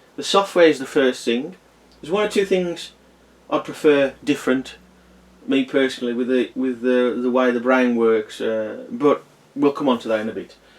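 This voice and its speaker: Noticeable background noise beneath moderately paced speech with ordinary pitch variation. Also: man, medium pitch for a man. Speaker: toy reviewer. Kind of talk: casual product review. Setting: home kitchen. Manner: hesitant, many fillers.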